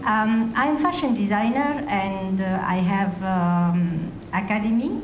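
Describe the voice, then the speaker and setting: A very slow woman's voice at a medium pitch, with audible room echo and noticeable background noise. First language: Arabic. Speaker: fashion designer, audience member. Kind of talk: audience question. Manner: halting.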